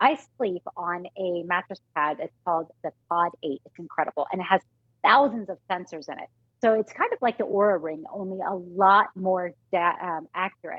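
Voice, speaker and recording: A woman's unremarkable speaking voice, medium in pitch, at a moderate pace, with big swings in loudness. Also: ordinary pitch variation. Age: 40s. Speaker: fitness and nutrition expert guest. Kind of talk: sales pitch.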